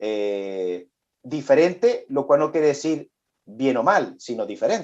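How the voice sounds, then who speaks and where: A man with a Venezuelan accent speaks against a quiet background. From Venezuela, Chilean immigrant family. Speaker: business executive. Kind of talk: interview. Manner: halting, many repetitions.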